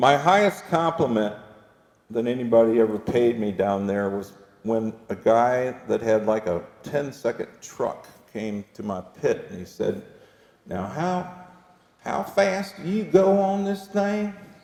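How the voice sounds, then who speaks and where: Noticeable background noise sits behind a man speaking at a medium pitch and a fairly slow pace. His pitch swings very widely, and his loudness rises and falls in big swings. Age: 60s. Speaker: drivetrain company founder and presenter. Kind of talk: workshop presentation with Q&A. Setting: dealership service bay with live audience. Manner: halting, many fillers and restarts.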